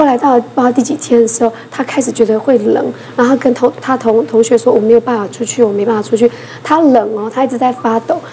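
Over light background noise, a woman talks at a very fast pace in a high pitch, her intonation fairly even. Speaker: emergency physician; talk show panelist. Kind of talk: casual talk show chat. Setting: studio. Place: studio.

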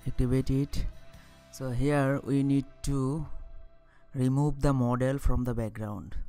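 The delivery is very slow. Music plays in the background. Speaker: software tutorial narrator. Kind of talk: screen-recording tutorial narration.

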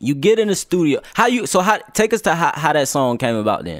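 A man speaks with very wide swings in pitch. The background is quiet, and the sound is dry with no echo. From Newport News, Virginia; Virginia. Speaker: podcast host. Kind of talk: casual interview. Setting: studio. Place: studio. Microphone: studio mic.

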